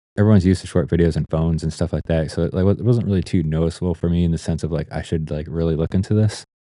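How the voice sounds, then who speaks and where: In an American accent, a dark, mellow voice moves at a very fast pace with fairly even intonation over a quiet background. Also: man, very deep, low pitch for a man. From Ohio, US Midwest. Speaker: photographer and vlogger. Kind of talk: casual vlog talk. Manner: drags on words, trailing sounds; halting, many fillers and restarts. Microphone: Shure SM7B with new audio interface and noise gate.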